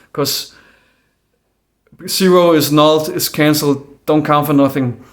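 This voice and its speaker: Speaking with a Danish accent, a man uses a fairly high pitch, monotone, flat intonation and a moderate pace. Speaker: conspiracy video maker. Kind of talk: casual monologue. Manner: halting.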